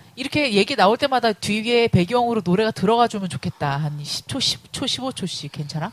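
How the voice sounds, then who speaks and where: In an animated tone, a woman speaks at a moderate pace with very wide pitch swings and hardly any pauses. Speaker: podcast host. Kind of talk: casual chat.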